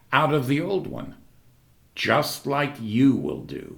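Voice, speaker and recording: The speaker is a man whose voice has vocal fry. His intonation is lively. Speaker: actor and secular humanist. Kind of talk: commencement speech.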